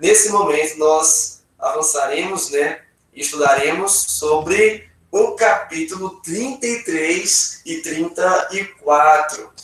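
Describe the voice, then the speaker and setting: At a very slow pace, a man talks in a high voice with ordinary pitch variation and big swings in loudness. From Brazil, Acre. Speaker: pastor, Bible teacher. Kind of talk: Bible study class. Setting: video call.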